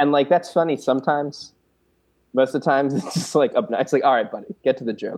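Speaking at a fairly quick pace, a man with an American accent has a fairly high pitch. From US Northeast. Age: 30s. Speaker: puppeteer and web series creator. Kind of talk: casual interview chat.

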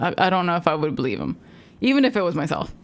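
A woman talks in a fairly low voice. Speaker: streamer and podcast co-host. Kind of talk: casual chat.

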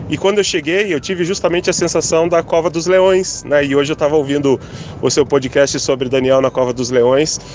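Talking at a fairly quick pace, a man varies his pitch in an ordinary way as noticeable noise sounds behind him. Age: 30s. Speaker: listener, bank manager. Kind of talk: voice message testimony. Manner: halting.

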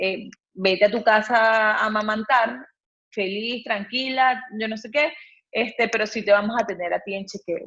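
A woman's fairly high, bright and sharp voice at a fairly slow pace, with fairly even intonation, big swings in loudness, and a quiet background. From Venezuela. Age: 30s. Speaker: photographer, cancer survivor. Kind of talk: personal testimony in interview.

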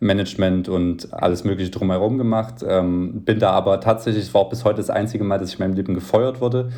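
A man at a very fast pace with hardly any pauses and fairly even intonation. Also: fairly low pitch for a man. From Thuringia, Germany. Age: 30s. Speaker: blogger and influencer. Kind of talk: casual chat. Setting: at home, remote call.

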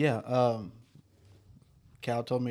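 A man's voice with a dark, mellow tone. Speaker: podcast co-host. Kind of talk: casual chat.

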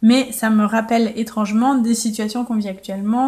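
A woman talks in a fairly high pitch. Her intonation is monotone and flat. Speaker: life coach and blogger. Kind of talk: solo podcast monologue. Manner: casual, with frequent hesitations.

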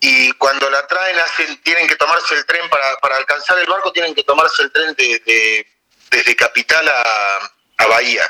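A man speaks at a moderate pace with very even loudness. The sound is dry and close, with no echo. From Argentina, Tierra del Fuego (Ushuaia). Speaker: farmer. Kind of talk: interview. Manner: hesitant, many fillers and repetitions.

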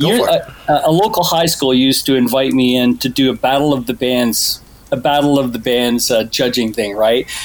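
Over noticeable background noise, a man talks at medium pitch and a moderate pace, his loudness very even and his pitch variation ordinary. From Canada, Toronto. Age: 40s. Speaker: podcast guest, music enthusiast. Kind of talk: casual chat.

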